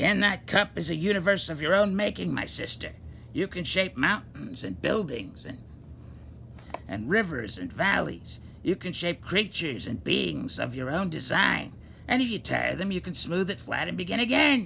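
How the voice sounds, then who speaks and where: A man uses a raspy put-on character voice at a moderate pace against clear background noise. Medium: read story.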